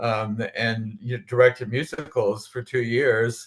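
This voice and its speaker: A man's medium-pitched voice against a quiet background. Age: 80s+. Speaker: retired army veteran, community theater director. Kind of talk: casual panel discussion.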